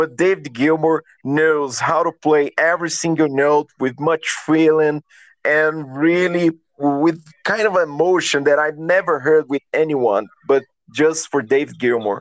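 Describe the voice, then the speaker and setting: A man with a Brazilian accent, fairly high in pitch, with ordinary pitch variation, very even loudness and a fairly slow pace, in a dry, close sound with no echo against a quiet background. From Minas Gerais, Brazil. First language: Portuguese. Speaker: guitarist and songwriter. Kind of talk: casual interview. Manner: halting, searching for words.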